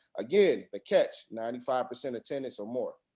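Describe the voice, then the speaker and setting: A man speaks at a very fast pace with a medium pitch and ordinary pitch variation. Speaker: school staff presenting updates. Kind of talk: online parent meeting update.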